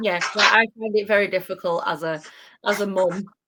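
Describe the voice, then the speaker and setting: Speaking at a moderate pace with a Yorkshire accent, a woman keeps a medium pitch and a flat, monotone intonation. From northern England, Doncaster. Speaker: podcast host. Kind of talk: casual chat.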